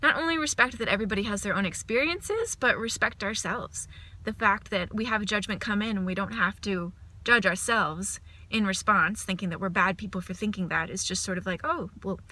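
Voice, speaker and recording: Heard on a very clean recording with a silent background, a woman speaks loudly at a fairly quick pace in a bright, sharp tone with ordinary pitch variation. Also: medium pitch for a woman. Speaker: performer and mindfulness workshop leader. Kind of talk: casual video diary. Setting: at home. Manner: animated.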